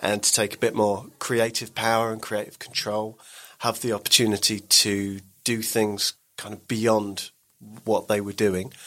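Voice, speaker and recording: A man speaks with an English accent. His pace is fairly slow. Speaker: podcast network boss. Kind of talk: casual interview chat.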